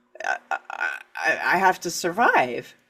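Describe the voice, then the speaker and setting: A woman speaks at a very slow pace while music plays in the background. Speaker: author and writing coach. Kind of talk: interview.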